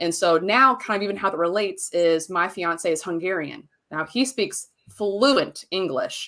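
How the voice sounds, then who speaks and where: In a bright, sharp tone, a woman talks at a moderate pace with an animated delivery. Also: medium pitch for a woman, ordinary pitch variation. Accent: Southern US. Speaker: marketing business owner. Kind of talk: podcast interview.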